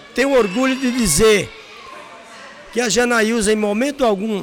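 An extremely high-pitched man speaks with ordinary pitch variation. There is noticeable background noise and audible room echo. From Brazil, Paraíba (Northeast). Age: 50s. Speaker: restaurant and hotel owner. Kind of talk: interview. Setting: at the guest's restaurant.

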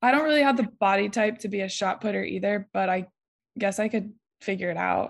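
A woman's medium-pitched voice in a Midwestern US accent, fairly quick, with a quiet background. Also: ordinary pitch variation. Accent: US Midwest. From Ohio, small town. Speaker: college volleyball player. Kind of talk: interview.

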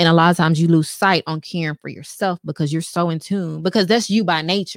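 In a Southern US accent, a woman with a fairly low pitch talks at a very fast pace in an animated tone with hardly any pauses, the sound dry and close with no echo. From Texas. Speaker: massage therapist. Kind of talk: casual chat. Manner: assertive.

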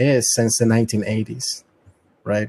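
A man with a Latin American accent speaks at medium pitch in a monotone, flat way. His tone is dark and mellow, and the sound is dry and close with no echo. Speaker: private sector intelligence analyst. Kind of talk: casual discussion. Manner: halting.

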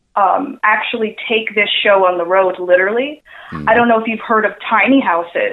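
A plain, everyday voice with an American accent and ordinary pitch variation. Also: woman, fairly high pitch for a woman, moderate pace. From New York (Queens). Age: 20s. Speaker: cosplayer and marketer. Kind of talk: interview. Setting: phone call.

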